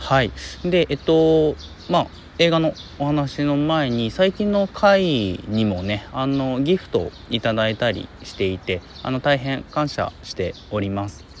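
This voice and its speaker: At a fairly slow pace, a man with a fairly high pitch makes very wide pitch swings against noticeable background noise. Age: 30s. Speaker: podcaster, film commentator. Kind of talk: solo casual talk. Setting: outdoors in a park.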